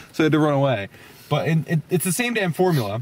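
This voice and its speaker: A man is speaking. The sound is dry, with no echo. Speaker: movie reviewer. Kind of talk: casual movie review chat. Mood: amused, opinionated. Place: car. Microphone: phone near.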